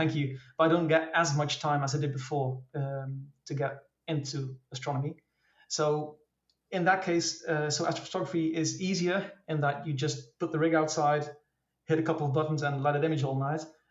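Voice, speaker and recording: A man with a Dutch accent talks fairly quickly in a fairly high, somewhat breathy voice. His intonation stays monotone and flat. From Netherlands. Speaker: amateur astrophotographer. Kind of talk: casual interview. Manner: hesitant, many fillers.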